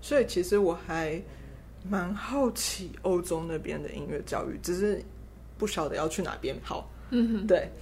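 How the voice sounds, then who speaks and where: Fairly slow speech with audible room echo. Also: woman. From Taiwan. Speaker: concert pianist. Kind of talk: interview. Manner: halting.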